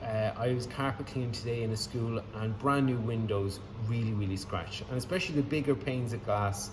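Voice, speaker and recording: A man with an Irish accent speaks at medium pitch. The recording carries noticeable background noise and audible room echo. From Ireland. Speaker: window cleaner. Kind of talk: tutorial. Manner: casual, hesitant with many fillers.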